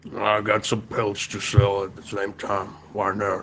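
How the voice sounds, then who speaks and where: Over clear background noise, a man uses a put-on character voice, fairly low in pitch, monotone and flat, at a moderate pace. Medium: actual play. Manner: blunt, crude.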